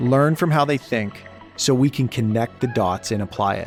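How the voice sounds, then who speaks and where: A man's medium-pitched voice with ordinary pitch variation, music playing in the background. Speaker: podcast host. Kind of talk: podcast intro.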